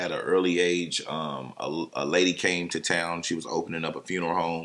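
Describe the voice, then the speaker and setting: At a fairly quick pace, a man speaks in a monotone, flat voice with a very deep, low pitch. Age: 30s. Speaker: funeral home owner. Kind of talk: casual interview.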